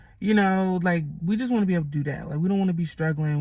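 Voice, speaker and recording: Somewhat breathy and with ordinary pitch variation, the voice is captured on a very clean recording with a silent background. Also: woman. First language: Haitian Creole and Jamaican Patois. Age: 20s. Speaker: vlogger. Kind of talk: casual chat. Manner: casual, filler-heavy.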